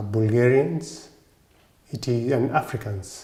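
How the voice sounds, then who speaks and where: With a Kenyan accent, a man speaks somewhat breathily at a very slow pace and medium pitch, with ordinary pitch variation and audible room echo. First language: Kikuyu. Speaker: Orthodox priest and monk. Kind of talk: interview monologue. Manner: halting.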